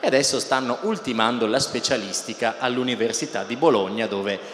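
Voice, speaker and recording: At a fairly quick pace, a man talks with ordinary pitch variation, with audible room echo and light background noise. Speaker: interviewer, host. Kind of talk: stage presentation. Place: stage. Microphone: handheld.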